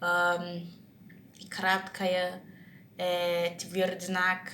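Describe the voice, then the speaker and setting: Audible room echo surrounds a woman of medium pitch speaking with a Brazilian Portuguese accent. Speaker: vlogger practicing English. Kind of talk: casual monologue vlog. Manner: halting, many restarts and fillers.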